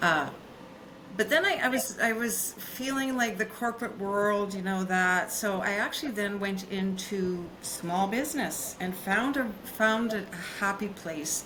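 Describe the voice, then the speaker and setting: Over noticeable background noise and audible room echo, a woman speaks with a Canadian accent. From Canadian prairies. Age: 60s. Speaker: business consultant. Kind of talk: podcast interview. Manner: halting, many fillers.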